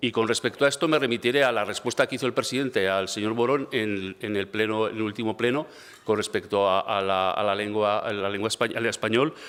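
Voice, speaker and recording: A man talks with ordinary pitch variation around a medium pitch, at a moderate pace. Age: 60s. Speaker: regional education minister. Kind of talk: parliamentary debate. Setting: parliament chamber. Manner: halting, many fillers and repetitions; calm.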